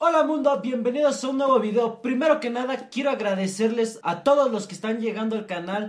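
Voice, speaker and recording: A man at a moderate pace. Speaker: comedy vlogger. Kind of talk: casual vlog chat. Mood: joking, mock serious. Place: home room. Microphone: phone near.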